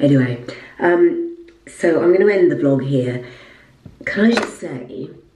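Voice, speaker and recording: A woman talks at a very slow pace with lively intonation. Noticeable background noise runs underneath. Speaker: lifestyle vlogger and presenter; lifestyle vlogger. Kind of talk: casual vlog talk. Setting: at home in apartment. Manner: quiet, voice kept down. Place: bathroom. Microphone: phone near.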